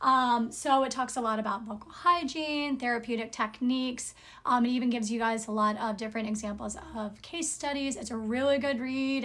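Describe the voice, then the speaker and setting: Amid audible room echo, a woman talks loudly at a high pitch with ordinary pitch variation. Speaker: singer and speech-language pathology lecturer. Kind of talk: lecture.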